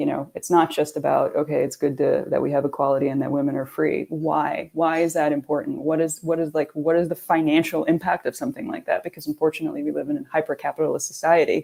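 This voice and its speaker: A woman with a New York accent talks at a very fast pace with hardly any pauses. Noticeable background noise runs underneath. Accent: New York American. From New York area, US. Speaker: sustainability consultant. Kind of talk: panel discussion.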